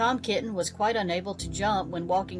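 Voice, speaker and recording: A woman at a medium pitch with ordinary pitch variation and a moderate pace, music in the background. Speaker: children's book narrator. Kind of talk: children's storybook reading.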